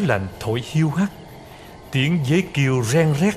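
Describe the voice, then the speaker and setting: Fairly slow, lively-intoned speech amid noticeable background noise. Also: man. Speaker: voice actor. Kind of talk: history storytelling narration.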